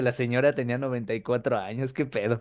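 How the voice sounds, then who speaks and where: A man is speaking. The background is quiet. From Mexico. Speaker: wrestling podcast co-host. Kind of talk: casual chat. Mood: joking, laughing. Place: home room. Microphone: webcam.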